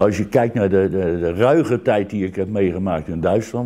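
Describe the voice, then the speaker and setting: At a moderate pace, a man with a very deep, low pitch and a dark, mellow tone speaks with lively intonation. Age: 70s. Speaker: retired air force serviceman; interviewee. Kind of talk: interview. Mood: reflective, warm. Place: home room.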